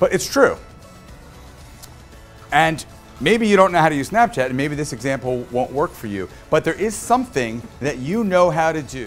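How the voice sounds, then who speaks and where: A man at a moderate pace with very wide pitch swings, faint music in the background. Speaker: keynote speaker. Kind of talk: keynote speech. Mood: humorous, self-deprecating. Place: hall. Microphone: lapel.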